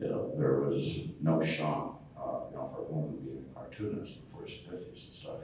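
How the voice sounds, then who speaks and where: Over noticeable background noise and audible room echo, a man talks at a fairly quick pace with big swings in loudness. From New England, US (Connecticut). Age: 60s. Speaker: cartoonist. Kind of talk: convention panel interview. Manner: hesitant, many fillers.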